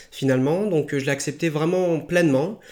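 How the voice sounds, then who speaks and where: Here a man with an ordinary speaking voice talks at a fairly quick pace, with a fairly high pitch and fairly even intonation. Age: 20s. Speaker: qigong and martial arts practitioner. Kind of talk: interview about his life.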